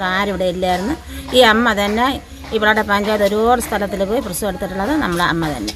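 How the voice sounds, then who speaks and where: A woman with a medium-pitched voice and ordinary pitch variation speaks at a moderate pace while noticeable background noise plays behind her. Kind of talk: interview answer.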